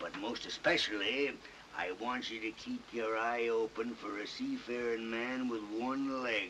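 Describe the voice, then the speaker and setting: Over clear background noise, a man puts on a gruff character voice at medium pitch and a moderate pace. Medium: audio drama. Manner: gruff, seafaring dialect.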